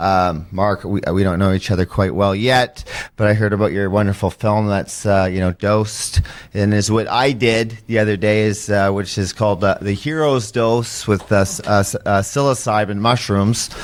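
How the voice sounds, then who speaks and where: A man talks in an unremarkable speaking voice with a fairly low pitch. His pace is moderate, his intonation fairly even, and his loudness very even. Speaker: former pro hockey player, mental health advocate. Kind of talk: podcast interview, personal testimony. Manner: emotional, rambling with fillers.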